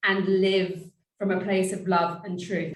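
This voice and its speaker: Audible room echo surrounds a woman speaking in a British accent at a fairly slow pace and medium pitch. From Britain. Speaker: empowerment and abundance coach. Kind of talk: interview podcast.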